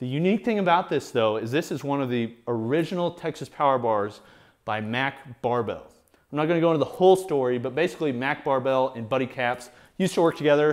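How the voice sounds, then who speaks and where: Ordinary pitch variation marks a man speaking at a very fast pace. The background is quiet. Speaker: equipment reviewer. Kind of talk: casual show-and-tell commentary. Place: garage. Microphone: lapel.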